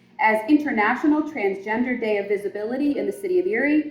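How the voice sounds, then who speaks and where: The pace is fairly quick and the pitch swings very widely, with noticeable background noise behind the speech. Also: woman. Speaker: mayor. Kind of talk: reading aloud a formal proclamation. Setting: community event with audience. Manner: loud.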